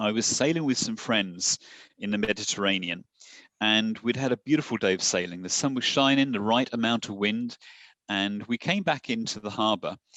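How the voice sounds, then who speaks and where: Recorded with a dry, close sound, no echo and a quiet background, a man with an English accent speaks at a moderate pace. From southern England, Portsmouth. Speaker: satellite company executive. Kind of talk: podcast interview.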